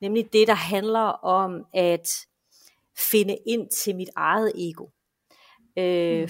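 On a very clean recording with a silent background, a woman of medium pitch speaks with ordinary pitch variation. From western Denmark, Esbjerg. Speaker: enneagram expert. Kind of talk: podcast interview.

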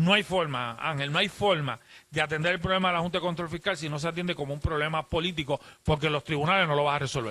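At a very fast pace, a man with a fairly high pitch and a bright, sharp tone speaks with ordinary pitch variation. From Puerto Rico. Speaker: legislator. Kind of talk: radio interview. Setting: hotel lobby remote broadcast.

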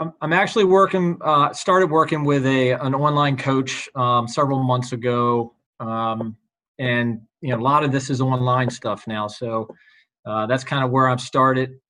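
Bright and sharp in tone, a man speaks at a moderate pace with medium pitch and ordinary pitch variation. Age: 50s. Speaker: personal trainer. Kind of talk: interview. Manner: halting.

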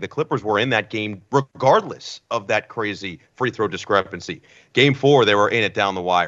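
A man with an American accent speaks in a normal speaking voice at medium pitch. His pitch variation is ordinary and his pace moderate. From New Jersey. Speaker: sports play-by-play broadcaster. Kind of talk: casual interview chat.

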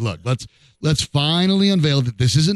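A man speaks in an unremarkable speaking voice at a moderate pace, his intonation lively and the sound dry and close with no echo. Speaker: sports radio host. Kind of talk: casual chat. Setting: studio.

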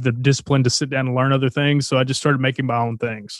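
Very fast and monotone, flat in intonation, a man speaks with a Southern US accent. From Arkansas, US South (Texarkana, Texas border). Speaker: songwriter. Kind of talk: casual interview.

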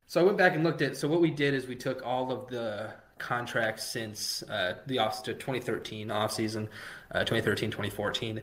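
The pace here runs fairly quick. It is a normal speaking voice whose pitch varies in an ordinary way. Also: man, medium pitch for a man. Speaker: fantasy baseball writer. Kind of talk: casual interview.

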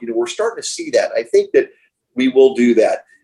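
Speaking with an American accent, a man is heard while music plays behind him. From Miami, Florida, US. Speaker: real estate executive. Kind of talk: interview.

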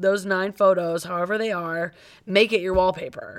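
Heard on a very clean recording with a silent background, a woman with an American accent uses a normal speaking voice at a medium pitch and a moderate pace. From Cleveland, US Midwest. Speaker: podcast co-host. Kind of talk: casual chat.

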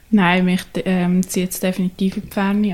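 The speaker is a woman who talks fairly slowly. She keeps a monotone, flat intonation. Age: young. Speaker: ice hockey player. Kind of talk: casual interview.

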